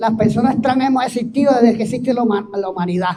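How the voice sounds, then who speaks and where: Though his tone is dark and mellow, this man speaks at an extremely high pitch. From Puerto Rico, Barranquitas countryside. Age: 70s. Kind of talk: testimony.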